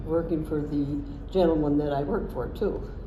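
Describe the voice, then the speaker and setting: Moderate-paced female speech amid noticeable background noise and audible room echo. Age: 90s. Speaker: retirement home resident. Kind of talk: interview answers. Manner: halting.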